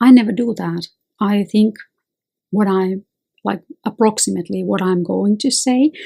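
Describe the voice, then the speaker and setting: With a somewhat breathy, dark, mellow tone, a woman moves at a moderate pace broken by long, frequent pauses. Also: medium pitch for a woman, ordinary pitch variation. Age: 50s. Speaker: lawyer and self-help video host. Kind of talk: advice monologue.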